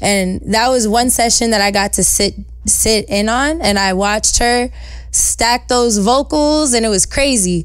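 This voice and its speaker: A woman with a New York accent speaks at a fairly slow pace in a fairly high pitch, with ordinary pitch variation and very even loudness over noticeable background noise. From New York, Westchester (New Rochelle). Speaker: singer-songwriter. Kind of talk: casual interview. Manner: animated.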